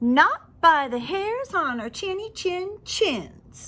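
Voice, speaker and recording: In a put-on character voice, the speaker talks at an extremely high pitch and a very slow pace. The pitch swings very widely. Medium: read story. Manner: squealing.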